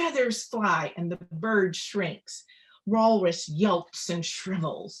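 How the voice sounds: A natural reading voice with ordinary pitch variation over a quiet background.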